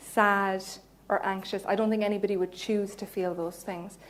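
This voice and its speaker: A woman with a Cork accent, fairly high in pitch, at a moderate pace, with audible room echo. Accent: Cork Irish. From Ireland, Cork. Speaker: psychologist. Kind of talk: lecture. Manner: animated.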